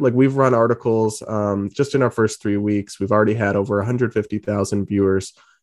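A man with an American accent and an ordinary speaking voice, medium in pitch, at a fairly quick pace against a quiet background. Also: hardly any pauses. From New England (Massachusetts and Rhode Island). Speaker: political journalist. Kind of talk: interview.

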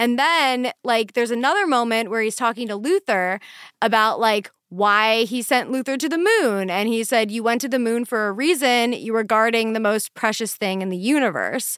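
Very clean recording, silent background, and a woman's fairly high voice in an animated, enthusiastic tone, at a moderate pace with ordinary pitch variation. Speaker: podcast co-host. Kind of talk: casual chat, podcast banter.

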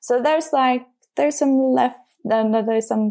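A woman with a Norwegian accent speaks with ordinary pitch variation. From Norway, Bergen. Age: 20s. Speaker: podcast patron, chemical engineer. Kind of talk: casual chat. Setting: remote call.

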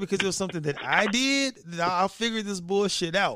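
Lively intonation marks this raised, projected voice. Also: man. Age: 40s. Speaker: podcast host. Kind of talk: casual chat. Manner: animated.

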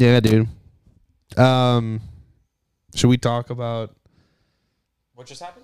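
Animated in tone, a man speaks fairly slowly at a medium pitch with long, frequent pauses. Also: big swings in loudness. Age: 20s. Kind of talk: casual chat.

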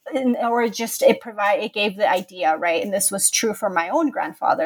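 A woman with an American accent talks at a moderate pace in an ordinary speaking voice of medium pitch. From California, Contra Costa County. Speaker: history professor and author. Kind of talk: interview.

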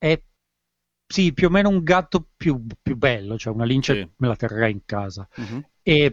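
Against a quiet background, a man with a medium-pitched voice talks at a moderate pace with very wide pitch swings, the sound dry and close with no echo. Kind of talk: casual chat.

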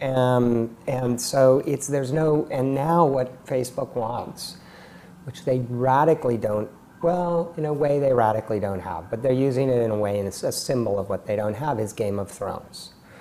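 This man has an ordinary speaking voice with an American accent, medium pitch, ordinary pitch variation and a moderate pace. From California, Silicon Valley. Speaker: tech entrepreneur. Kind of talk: interview.

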